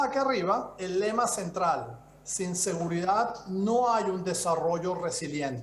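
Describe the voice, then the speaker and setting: A man with a Venezuelan accent at a high pitch, fairly slow pace and lively intonation, hardly any pauses, plus audible room echo and noticeable background noise. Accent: Venezuelan-tinged Spanish. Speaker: security expert speaker. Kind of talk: conference presentation. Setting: video call.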